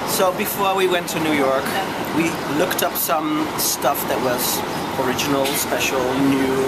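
With ordinary pitch variation and a moderate pace, a man speaks through loud background noise. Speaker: travel vlogger. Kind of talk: casual vlog chat. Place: street. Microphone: phone near.

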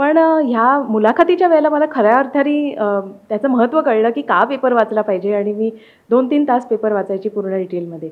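This woman's fairly high voice carries lively intonation. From Mumbai, Maharashtra. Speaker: civil service exam topper; interviewee. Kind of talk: interview. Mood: calm, pleased. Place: home room. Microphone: handheld.

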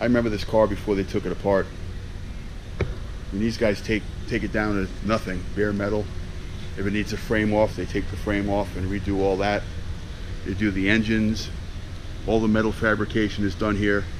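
A man speaks fairly quickly in a fairly low pitch. His intonation is monotone and flat, with noticeable background noise behind him. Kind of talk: casual vlog chat. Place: workshop. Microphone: phone near.

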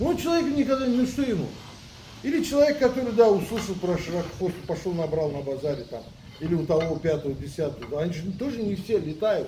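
At a fairly quick pace but with long, frequent pauses, a man speaks at a high pitch with very wide pitch swings, amid light background noise and audible room echo. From Azerbaijan. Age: 60s. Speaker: pigeon breeder. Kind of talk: casual chat. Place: garden. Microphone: camera far.

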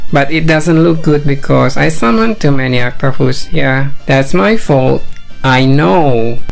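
Faint music sits in the background. The delivery is fairly slow. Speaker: gaming commentator. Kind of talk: game commentary.

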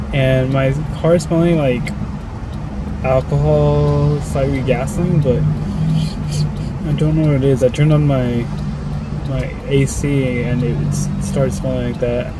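Loud background noise fills this clip. A man speaks with long, frequent pauses. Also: dry sound with no echo. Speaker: vlogger. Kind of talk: casual vlog chat. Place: car. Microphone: phone near.

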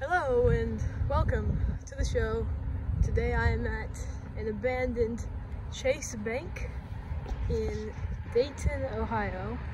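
A woman talks at a very slow pace, leaving long, frequent pauses. Noticeable background noise runs underneath. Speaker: urban explorer vlogger. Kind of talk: casual vlog commentary. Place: street. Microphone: phone near.

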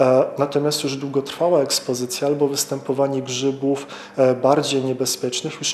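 A man speaks with monotone, flat intonation. Audible room echo and light background noise are present. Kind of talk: interview answer.

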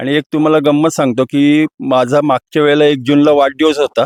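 In a plain, everyday voice, a man talks with a fairly high pitch. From Maharashtra, Raigad (Pali). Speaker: bull owner, rehab centre owner. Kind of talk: interview.

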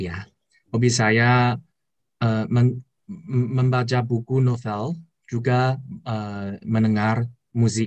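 Against a quiet background, a man in a Chinese accent talks very slowly with fairly even intonation and long, frequent pauses. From China. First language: Chinese (speaking Indonesian). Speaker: university student. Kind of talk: video call interview; interview answer. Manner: halting. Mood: friendly, smiling. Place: home room. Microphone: video call.

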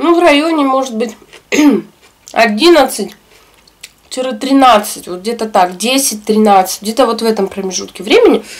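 With lively intonation, a woman speaks at a moderate pace, leaving long, frequent pauses. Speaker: eating vlogger. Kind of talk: casual vlog chat while eating. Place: home room.

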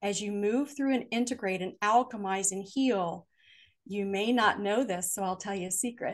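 Against a quiet background, a woman uses a warm, animated tone at a moderate pace with ordinary pitch variation. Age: 60s. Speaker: author and family therapist; podcast guest. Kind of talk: interview conversation on spirituality and trauma healing. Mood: calm, earnest, reflective. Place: home room. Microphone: video call.

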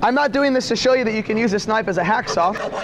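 Against noticeable background noise, a man speaks at a very fast pace with an extremely high pitch. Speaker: product demonstrator. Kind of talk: live in-store product demonstration sales pitch to a crowd. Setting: store floor with live audience. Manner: rapid-fire patter, quick jokes and crowd-work questions; showman-like, hyping each cut with commands to watch. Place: shop.

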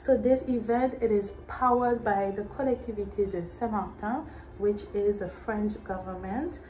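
Ordinary pitch variation is heard over light background noise. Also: woman. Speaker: vlogger announcing local events. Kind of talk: casual vlog chat. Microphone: phone near.

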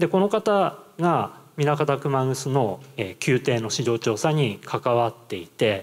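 The voice moves at a very slow pace. Its pitch swings very widely. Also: man. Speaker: university lecturer. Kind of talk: presentation. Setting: stage with audience. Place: hall. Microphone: handheld.

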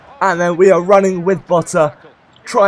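A man with a British accent speaks over noticeable background noise. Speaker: gaming YouTuber. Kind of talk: gameplay commentary. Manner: casual, upbeat.

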